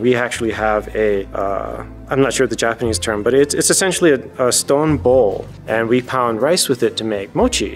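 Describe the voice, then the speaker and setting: Faint music plays in the background as the speaker talks at a moderate pace. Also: man. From Hawaii. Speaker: army field artillery officer. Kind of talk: interview answer. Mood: warm, smiling. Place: hall.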